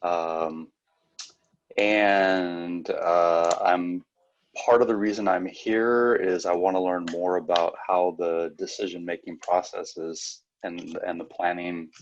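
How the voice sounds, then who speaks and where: The speech comes at a very slow pace with monotone, flat intonation. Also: man, very deep, low pitch for a man. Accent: American. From US Pacific Northwest, Portland. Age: 60s. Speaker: student, semi-retired teacher. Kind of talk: self-introduction.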